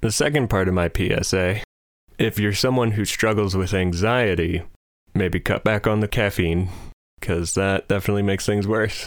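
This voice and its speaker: A man with an unremarkable speaking voice and a fairly low pitch speaks at a moderate pace, his intonation fairly even and his loudness very even. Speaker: podcast host. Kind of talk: casual comedic banter. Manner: joking, playful.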